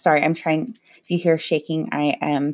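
On a very clean recording with a silent background, a woman speaks in a very deep, low voice with fairly even intonation. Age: 30s. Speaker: podcast host. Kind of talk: casual solo monologue. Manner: hesitant, frequent ums.

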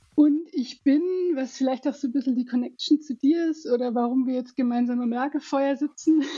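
At a moderate pace, a woman talks with a high pitch. Her intonation stays fairly even. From Alpine region. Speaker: head of marketing. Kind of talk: casual interview.

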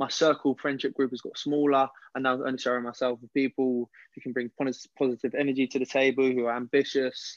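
A man with a London accent talks very fast at a medium pitch in a flat monotone, with big swings in loudness. The sound is dry and close with no echo, and the background is quiet. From West London. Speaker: personal trainer and ex-footballer. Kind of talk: casual interview.

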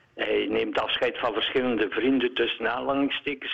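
A man speaks at a moderate pace. Background noise is noticeable. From Eeklo, East Flanders, Belgium. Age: 70s. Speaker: radio caller. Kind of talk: radio interview. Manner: halting.

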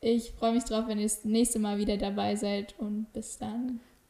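A woman with an ordinary speaking voice, fairly high in pitch, at a moderate pace. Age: 20s. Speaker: podcast host. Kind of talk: casual interview chat. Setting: visiting the guest at her home.

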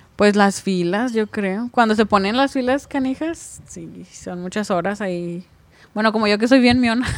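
With an ordinary speaking voice, a woman talks at a fairly high pitch and a fairly slow pace, using ordinary pitch variation and big swings in loudness. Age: 20s. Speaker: truck driver. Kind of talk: casual chat.

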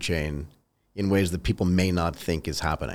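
A man with a very deep, low voice talks at a moderate pace on a very clean recording with a silent background. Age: 50s. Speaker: podcast host. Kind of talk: podcast interview.

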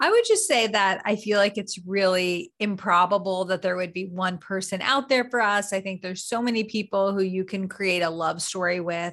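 A normal speaking voice comes through with fairly even intonation and hardly any pauses. The background is quiet. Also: woman, medium pitch for a woman, moderate pace. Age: 30s. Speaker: behavioral scientist and dating coach. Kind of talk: casual interview.

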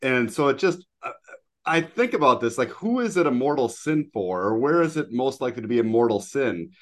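With a quiet background, a man in a normal speaking voice talks at a moderate pace with lively intonation. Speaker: podcast co-host. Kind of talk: casual interview.

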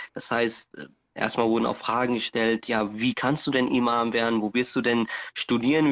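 At a moderate pace, a man talks with a medium pitch and ordinary pitch variation. He has an ordinary speaking voice. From Germany. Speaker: imam. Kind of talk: interview.

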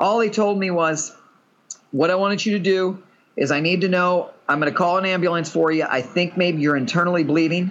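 With a Texan accent, a man speaks at a fairly quick pace in a high pitch. His intonation is fairly even and his loudness very even. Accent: Texan American English. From Texas. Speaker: patient living with a serious illness. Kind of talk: casual chat.

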